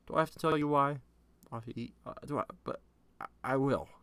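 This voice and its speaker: This man's voice sits at a medium pitch. He keeps to a moderate speed. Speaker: podcast host. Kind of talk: casual solo podcast monologue. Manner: animated; halting.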